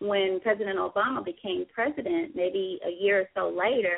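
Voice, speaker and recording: A woman in a plain, everyday voice, with lively intonation at a moderate pace. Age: 40s. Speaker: radio show host. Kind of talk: call-in radio talk show.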